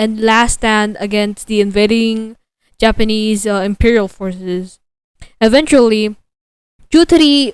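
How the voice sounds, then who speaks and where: Fairly slow delivery in an unremarkable speaking voice. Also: woman. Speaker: gaming channel host, interviewer. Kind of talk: interview questions.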